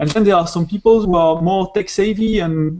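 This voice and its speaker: Here a man speaks with a French accent. His intonation stays fairly even. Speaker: software developer. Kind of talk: interview. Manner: halting.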